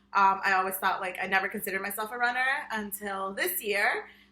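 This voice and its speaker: Over noticeable background noise, a woman with a medium pitch speaks with a Spanish accent. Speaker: podcast co-host, high school Spanish teacher. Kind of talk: casual chat. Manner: frequent fillers (um, like).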